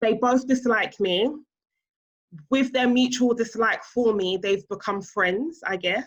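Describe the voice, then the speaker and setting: A woman's fairly high voice in a British accent, very slow in pace, with ordinary pitch variation. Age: 30s. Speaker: stepmom influencer. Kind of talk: interview.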